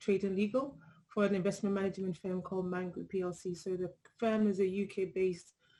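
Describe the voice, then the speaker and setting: A woman with a British accent talks fairly quickly at a medium pitch, her tone dark and mellow. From UK, Ghanaian heritage. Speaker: legal head at investment firm, panelist. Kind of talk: panel discussion.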